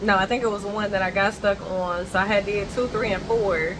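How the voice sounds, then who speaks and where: Noticeable background noise sits behind a woman speaking with fairly even intonation. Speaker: vlogger. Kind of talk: casual vlog chat. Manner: talkative, rambling pace.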